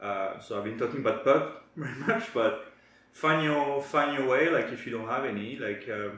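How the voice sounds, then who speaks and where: With a French accent, a man speaks at a fairly high pitch and moderate pace with lively intonation, with audible room echo and noticeable background noise. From France. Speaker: co-host of a wellness channel. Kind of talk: casual chat. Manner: halting.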